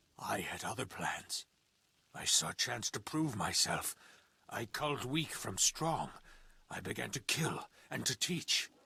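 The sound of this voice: A man puts on a character voice at fairly low pitch, with lively intonation and a fairly slow pace. His bright, sharp tone has a husky, rough edge and vocal fry.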